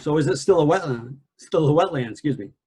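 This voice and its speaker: This man has a dark, mellow tone, a fairly high pitch, a somewhat breathy quality and lively intonation. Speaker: environmental analyst presenter. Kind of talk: lecture. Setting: video call. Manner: soft-spoken.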